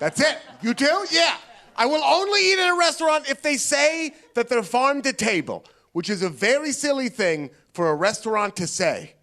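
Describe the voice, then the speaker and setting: A man with an American accent uses a raised, projected voice at an extremely high pitch and a moderate pace. His tone is bright and sharp, and his pitch swings very widely. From US Pacific Northwest, Portland, Oregon. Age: 30s. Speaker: stand-up comedian. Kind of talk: stand-up. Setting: stage with audience.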